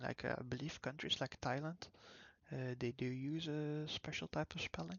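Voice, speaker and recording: A soft-spoken man talks at a fairly slow pace. His pitch is medium, with ordinary variation. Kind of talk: casual talk to camera, gaming commentary. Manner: soft-spoken, calm.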